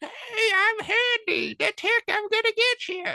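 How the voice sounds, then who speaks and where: Extremely high pitch in a put-on character voice, delivered fairly slowly. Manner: talking like a ventriloquist's puppet.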